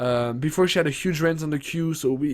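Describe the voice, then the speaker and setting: An animated man with fairly high pitch. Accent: non-native. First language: not English. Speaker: gaming streamer. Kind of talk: game patch notes rundown on stream. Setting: livestream. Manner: animated, casual with many fillers.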